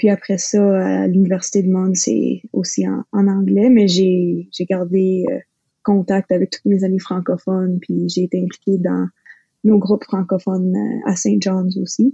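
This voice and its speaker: A somewhat breathy woman speaks at a fairly slow pace with fairly even intonation. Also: medium pitch for a woman. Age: 20s. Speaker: recent science graduate. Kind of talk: casual interview conversation.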